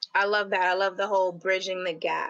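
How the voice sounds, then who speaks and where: A woman speaks in a bright, sharp tone with an American accent. The background is quiet. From New York City, Queens. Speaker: web series host. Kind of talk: interview.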